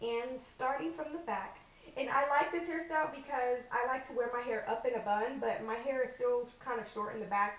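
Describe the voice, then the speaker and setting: A high-pitched woman's voice at a moderate pace, ordinary pitch variation, with audible room echo and noticeable background noise. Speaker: natural hair vlogger. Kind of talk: tutorial. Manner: loud.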